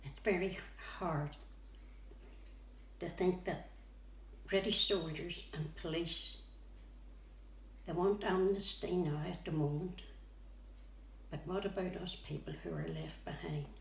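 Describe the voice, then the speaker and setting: Speaking at a fairly slow pace with long, frequent pauses, a woman with a Northern Irish accent is heard over audible room echo. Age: 80s+. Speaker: bereaved relative of a conflict victim. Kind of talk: testimony.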